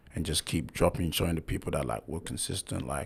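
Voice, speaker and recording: With vocal fry, a man speaks at a very deep, low pitch and ordinary pitch variation. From Ghana. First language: not English. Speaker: musician. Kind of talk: casual chat. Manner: animated.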